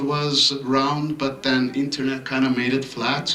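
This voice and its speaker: Fairly slow male speech, noticeable background noise, audible room echo. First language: not English. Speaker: resident speaking at public comment. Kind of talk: public comment at council meeting. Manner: halting, many fillers.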